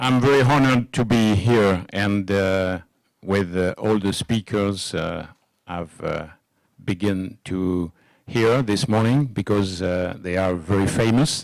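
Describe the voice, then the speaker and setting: A man with a French accent, fairly low pitch and ordinary pitch variation, at a very slow pace. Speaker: cardiovascular surgeon. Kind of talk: conference lecture. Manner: halting, many fillers.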